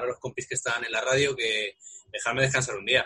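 Noticeable background noise lies under a man talking very fast. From Spain, Móstoles (Madrid). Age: 30s. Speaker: radio sports producer. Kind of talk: casual chat.

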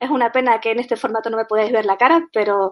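A woman's fairly high pitch with fairly even intonation. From Canary Islands. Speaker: software tech lead. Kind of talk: conference talk.

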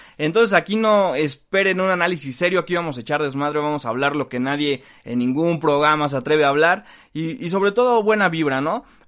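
A plain, everyday voice with lively intonation at a fairly quick pace, over a quiet background. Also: man, fairly high pitch for a man. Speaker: sports comedy podcast host. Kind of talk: casual comedic chat.

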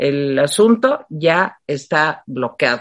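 A woman speaks with very wide pitch swings. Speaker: political commentary show host. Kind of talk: casual political chat.

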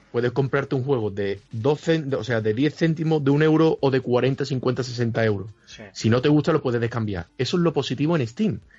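A man's somewhat breathy voice at a medium pitch, moderate in pace, with ordinary pitch variation and hardly any pauses. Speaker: gamer. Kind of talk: casual chat.

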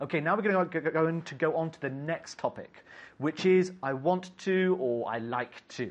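A man with an English accent talks at a moderate pace, his fairly high voice showing ordinary pitch variation. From England. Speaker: English teacher. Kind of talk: lecture.

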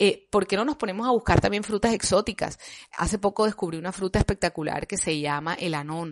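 A woman's unremarkable speaking voice at a medium pitch, with ordinary pitch variation, over a quiet background. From Colombia. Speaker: health podcaster. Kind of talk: casual monologue.

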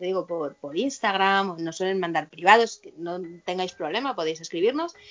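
The woman has a medium pitch and a plain, everyday voice. She talks at a moderate pace. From Spain, Madrid. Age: 40s. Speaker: vice-president of a satanist association. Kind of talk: interview.

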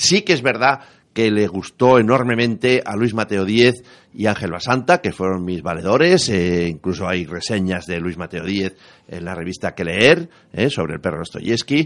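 With an ordinary speaking voice, a man talks at a moderate pace in a fairly low pitch. His intonation is lively, and the background is quiet. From Spain, La Rioja. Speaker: writer and retired teacher. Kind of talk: radio interview.

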